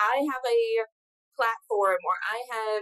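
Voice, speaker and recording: The recording has a dry, close sound with no echo. A woman talks at a fairly slow pace. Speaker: podcast host and spiritual coach. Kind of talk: casual interview. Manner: animated.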